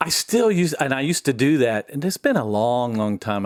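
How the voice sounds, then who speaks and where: A man with an American accent and a plain, everyday voice talks at a fairly quick pace with lively intonation, in a dry, close sound with no echo on a very clean recording with a silent background. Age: 60s. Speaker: military veteran. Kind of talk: casual chat.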